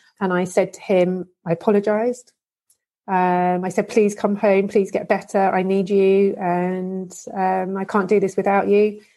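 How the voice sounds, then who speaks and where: A woman speaks in a British accent at a medium pitch. Her intonation is monotone and flat, and her pace fairly slow. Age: 40s. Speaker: abuse survivor and advocate. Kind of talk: testimony.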